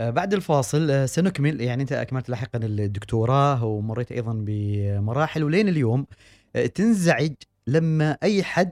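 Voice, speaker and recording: A man with an ordinary speaking voice talks at a moderate pace and medium pitch, his intonation lively. The recording is very clean and dry, close with no echo, over a silent background. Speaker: radio host. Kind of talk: radio interview.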